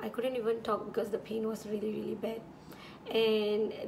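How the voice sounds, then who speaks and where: A woman's fairly high voice, flat and monotone, with audible room echo and noticeable background noise. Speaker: beauty vlogger. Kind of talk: casual chat. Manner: relaxed.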